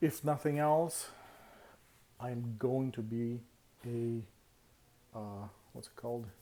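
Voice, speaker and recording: A man with a non-native accent and a dark, mellow tone speaks at a medium pitch with ordinary pitch variation. His pace is very slow, with long, frequent pauses. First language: not English. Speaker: vlogger. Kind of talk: casual vlog monologue. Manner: halting, many fillers.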